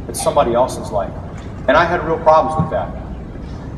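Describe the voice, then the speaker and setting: Noticeable background noise fills the recording. Over it, a man speaks at a fairly quick pace. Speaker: suicide prevention speaker. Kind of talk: personal story speech to audience. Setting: live auditorium. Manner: fast.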